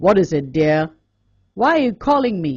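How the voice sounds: A gruff, put-on character voice sits at a middle pitch and moves at a moderate pace. Its pitch swings very widely.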